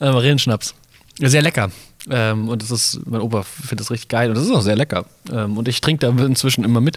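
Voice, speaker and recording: Ordinary pitch variation marks this man's medium-pitched voice. He talks at a fairly quick pace. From Mainz, Germany. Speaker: podcast co-host. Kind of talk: casual chat. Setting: carnival float. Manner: hesitant, many fillers.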